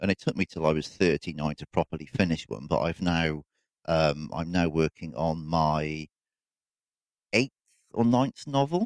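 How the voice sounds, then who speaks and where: Speaking in a British accent, a man with a very deep, low voice talks at a fairly slow pace with long, frequent pauses and lively intonation, the sound dry and close with no echo. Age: 40s. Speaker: podcast host. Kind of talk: casual solo monologue. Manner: hesitant, with fillers.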